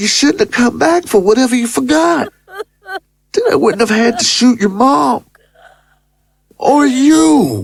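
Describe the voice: Using a put-on character voice, a woman speaks slowly at a high pitch, with big pitch swings, vocal fry, a slightly husky edge, and long, frequent pauses.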